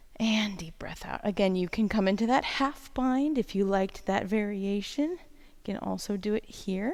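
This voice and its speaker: A woman speaks softly at a medium pitch. She leaves hardly any pauses. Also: ordinary pitch variation, moderate pace. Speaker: yoga instructor. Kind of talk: guided yoga class. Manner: soft-spoken.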